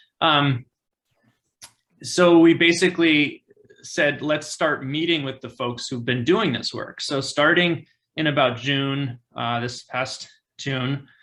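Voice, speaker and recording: At a very slow pace, a man with a fairly high pitch talks with fairly even intonation. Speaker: campaign organizer. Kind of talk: presentation in online meeting. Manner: hesitant, many fillers.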